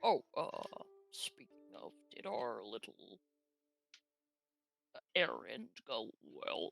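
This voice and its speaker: A put-on character voice speaks at a very slow pace with long, frequent pauses. Faint music plays in the background. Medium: actual play. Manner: pompous, affected.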